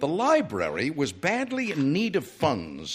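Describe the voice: Reading aloud, plain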